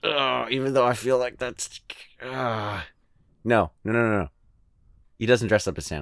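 At a moderate pace, a man with an American accent and a medium pitch speaks with ordinary pitch variation and long, frequent pauses. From California. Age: 20s. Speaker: podcast listener guest. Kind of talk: casual chat.

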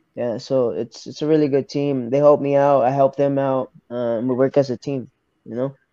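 Speaking with an American accent, a man talks at a moderate pace in a fairly high pitch. His tone is dark and mellow, and his intonation is flat and monotone. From Arkansas, US South. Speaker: professional MMA fighter. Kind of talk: interview.

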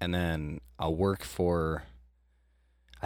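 On a very clean recording with a silent background, a man speaks with a very deep, low pitch. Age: 20s. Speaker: nursing student, former college baseball player. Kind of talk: casual chat.

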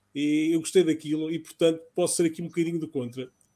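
A dark, mellow tone at a fairly quick pace. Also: man. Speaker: pop culture podcast host. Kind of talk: casual chat.

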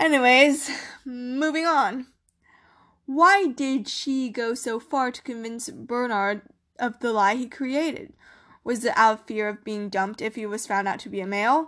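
A woman speaks at a fairly slow pace against a quiet background, her pitch high with ordinary variation. Her loudness swings widely from moment to moment. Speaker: podcast host. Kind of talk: solo history storytelling podcast. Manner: animated.

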